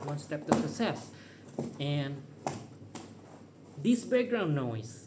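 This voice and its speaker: A man with a fairly high pitch and a non-native accent speaks at a very slow pace with very wide pitch swings. Audible room echo and noticeable background noise are present. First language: not English. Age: 30s. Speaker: vlogger. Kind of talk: casual monologue. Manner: unscripted, rambling pauses.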